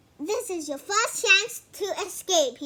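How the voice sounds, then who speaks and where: Using a put-on character voice, a woman squeaks out her words at an extremely high pitch and a fairly slow pace. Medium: read story. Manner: gloating, thundering.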